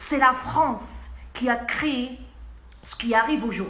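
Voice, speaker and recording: A woman uses a raised, projected voice at a high pitch. Room echo is audible. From Algeria. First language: Arabic (speaking French). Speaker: pharmacist. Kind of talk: video message. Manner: insistent.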